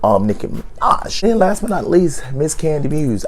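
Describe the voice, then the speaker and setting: Through noticeable background noise and audible room echo, a man speaks at a moderate pace with ordinary pitch variation. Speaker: YouTube reality TV reviewer. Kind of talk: casual video commentary. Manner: casual, with frequent fillers.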